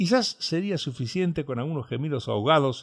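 Over a quiet background, an ordinary speaking voice moves at a fairly quick pace with lively intonation. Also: man. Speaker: audiobook narrator. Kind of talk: dramatic narration of a gothic story, read aloud. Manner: hushed, theatrical, menacing tone with suspenseful pacing.

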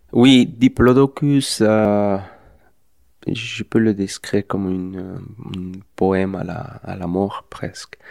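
At a very slow pace, a man with a Spanish accent speaks at a fairly low pitch, his loudness swinging widely. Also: ordinary pitch variation. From Mexico. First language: Spanish (speaking French). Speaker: film director. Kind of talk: interview. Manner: halting.

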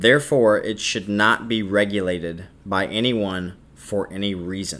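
A man talks at a fairly slow pace in a fairly low pitch, with fairly even intonation. It is an unremarkable speaking voice. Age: 20s. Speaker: podcast host and student. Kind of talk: solo opinion monologue.

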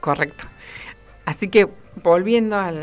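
A woman with ordinary pitch variation. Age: 30s. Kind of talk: interview.

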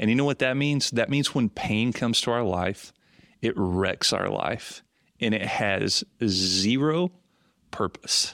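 In a very clean recording with a silent background, a man speaks in a normal speaking voice at a fairly slow pace, with medium pitch, ordinary pitch variation and very even loudness. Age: 40s. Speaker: missionary. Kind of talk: casual chat. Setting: outside normal studio.

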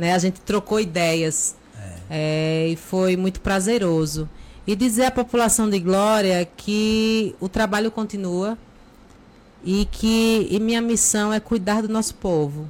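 At a very slow pace, a woman talks at a medium pitch with ordinary pitch variation and very even loudness. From Brazil, Aracaju (Sergipe). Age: 40s. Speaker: teacher, lawyer and local politician. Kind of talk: casual interview.

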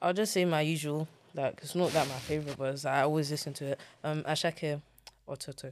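Talking very fast with fairly even intonation, a woman with a London accent has a very deep, low voice. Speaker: content creator and dance teacher. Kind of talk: interview. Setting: studio. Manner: blunt.

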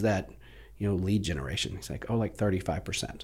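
A man with an American accent speaks at a fairly low pitch with vocal fry. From Plano, Texas. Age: 40s. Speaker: real estate team leader. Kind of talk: casual interview chat.

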